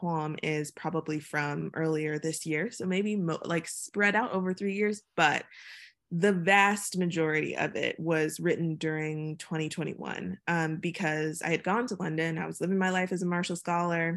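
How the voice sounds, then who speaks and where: In an American accent, a woman with an unremarkable speaking voice talks at a moderate pace, fairly low in pitch and fairly even in intonation, over a quiet background. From Virginia (Chesapeake), US South. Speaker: poet. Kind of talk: casual interview.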